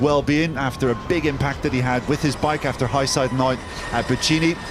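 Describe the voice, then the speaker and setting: A man talks fairly quickly in a fairly high voice while noticeable background noise carries on behind him. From Northern Ireland. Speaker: motorsport commentator. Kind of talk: live commentary.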